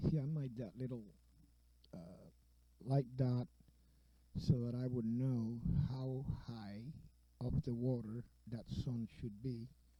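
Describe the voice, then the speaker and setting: With long, frequent pauses, a man talks at medium pitch in a dark, mellow tone. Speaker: painter. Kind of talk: painting tutorial. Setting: home studio with open window. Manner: halting, many fillers.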